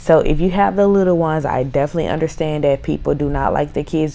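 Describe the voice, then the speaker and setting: Very deep, low-pitched speech from a woman with ordinary pitch variation, against noticeable background noise. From Mississippi. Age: 20s. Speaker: podcast host. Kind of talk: casual solo podcast intro.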